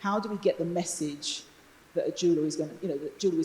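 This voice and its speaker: Speaking at a very fast pace, a woman has a dark, mellow tone. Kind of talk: panel discussion. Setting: stage with audience. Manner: loud.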